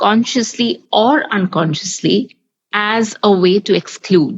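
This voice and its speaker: Speaking at a very slow pace in a Bengali accent, a woman uses lively intonation at a medium pitch. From Bengali-speaking household, English-medium school campus. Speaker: podcast host. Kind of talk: podcast discussion.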